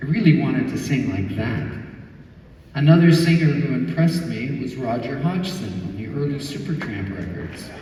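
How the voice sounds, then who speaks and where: A man's fairly high voice at a moderate pace over noticeable background noise. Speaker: rock singer and bassist. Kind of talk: memoir reading to live audience.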